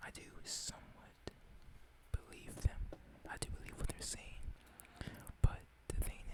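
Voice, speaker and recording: Whispering, a man speaks at a fairly slow pace. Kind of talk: ASMR whisper ramble. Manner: whispered.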